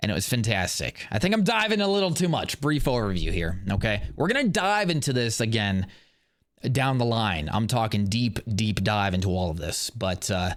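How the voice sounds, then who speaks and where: With an American accent, a man talks at a moderate pace and medium pitch, his pitch swinging very widely, in a very clean recording with a silent background. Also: very even loudness. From US Midwest, Indiana. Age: 20s. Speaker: podcast host, Marine veteran and police officer. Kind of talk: casual monologue podcast. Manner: casual, many filler words.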